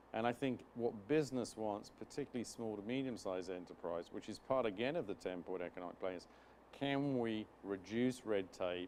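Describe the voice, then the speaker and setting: Someone speaks with a British accent at a moderate pace. The pitch varies in an ordinary way. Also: man. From UK. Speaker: business chamber chairman. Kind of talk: interview. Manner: formal.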